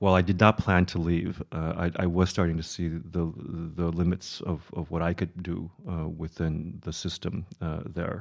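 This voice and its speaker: Someone with a Midwestern accent talks at a fairly slow pace with monotone, flat intonation. The recording is very clean, the background silent. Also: man. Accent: American, Midwestern. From US Midwest, Chicago. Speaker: design curator and institute director. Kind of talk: interview conversation. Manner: halting, many fillers and repetitions.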